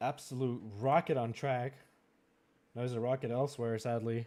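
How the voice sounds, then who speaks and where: A man's medium-pitched voice with a dark, mellow tone and monotone, flat intonation. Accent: French Canadian. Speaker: esports racing league host. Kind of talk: live-streamed draft commentary. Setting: live stream with chat. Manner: halting, many fillers and repetitions.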